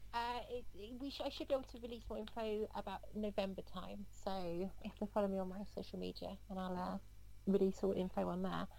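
Speaking with an English accent, a woman moves at a fairly quick pace. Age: 30s. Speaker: professional footballer. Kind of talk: interview.

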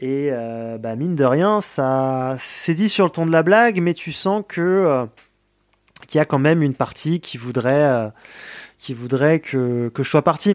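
A man speaks very slowly with lively intonation and a fairly high pitch. The sound is dry and close, with no echo. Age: 20s. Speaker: care home worker. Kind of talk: testimony.

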